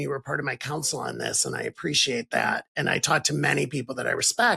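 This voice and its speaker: A man with an American accent speaks at a very fast pace, his tone bright and sharp, with vocal fry. His pitch shows ordinary variation, and the sound is dry and close with no echo. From Ohio. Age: 60s. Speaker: podcast host. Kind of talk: interview conversation.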